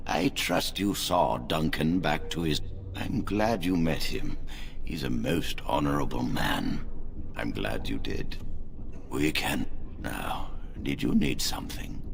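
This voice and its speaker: Loud background noise surrounds a man doing a put-on character voice. He talks at a fairly slow pace with a very deep, low pitch. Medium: short film. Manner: formal, measured.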